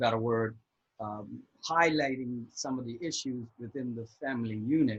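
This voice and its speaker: At a fairly slow pace, a man talks in a somewhat breathy, medium-pitched voice with ordinary pitch variation. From Bermuda. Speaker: divorce coach. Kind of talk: casual interview.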